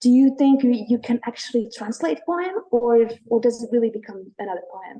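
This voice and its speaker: In a Latvian accent, a woman speaks with hardly any pauses, her fairly high voice dark and mellow in tone, with big swings in loudness. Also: lively intonation, moderate pace. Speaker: poet. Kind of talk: interview.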